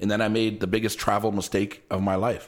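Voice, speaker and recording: A very fast pace in a Toronto accent. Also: man. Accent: Toronto Canadian English. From Canada, Toronto (Jane and Lawrence). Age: 40s. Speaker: travel YouTuber. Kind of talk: casual podcast interview.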